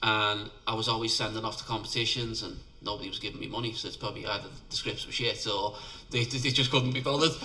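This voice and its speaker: Audible room echo surrounds a man with a Liverpool accent talking at a very fast pace. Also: medium pitch for a man, fairly even intonation. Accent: Scouse (Liverpool). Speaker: independent filmmaker. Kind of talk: interview.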